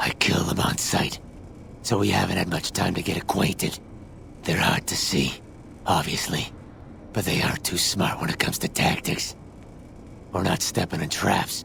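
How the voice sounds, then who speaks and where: A man uses a put-on character voice, very deep and low, at a moderate pace. Long, frequent pauses break it up, and background noise is clear. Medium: machinima. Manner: gruff, blunt, dry humor.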